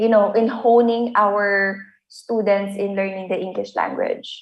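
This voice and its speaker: A woman with a Filipino accent speaks at a fairly slow pace. Her pitch is fairly high and her intonation fairly even. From Philippines. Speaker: English language teacher. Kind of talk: lecture. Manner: halting, many fillers.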